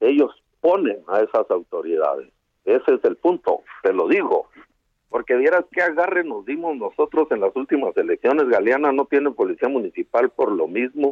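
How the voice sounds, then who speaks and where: A man with a Chihuahua accent at a moderate pace. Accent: Chihuahua mountain. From Sierra de Chihuahua, Mexico. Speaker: activist. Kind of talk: phone interview. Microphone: bad connection.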